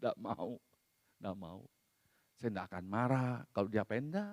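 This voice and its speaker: A man at a fairly slow pace in a dry, close sound with no echo. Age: 60s. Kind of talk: sermon. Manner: conversational, casual asides.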